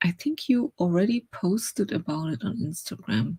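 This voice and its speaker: A woman with a German accent speaks at a fairly low pitch and a fairly slow pace, somewhat breathy. The sound is dry and close, with no echo. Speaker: writer and streamer. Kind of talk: casual live stream chat. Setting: live stream.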